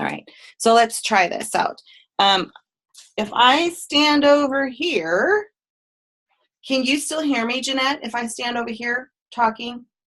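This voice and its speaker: This woman has a high-pitched voice with lively intonation and talks fairly slowly. Her speech is broken by long, frequent pauses. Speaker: image consultant. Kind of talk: webinar presentation. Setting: online webinar, video call. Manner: casual, hesitant with many fillers.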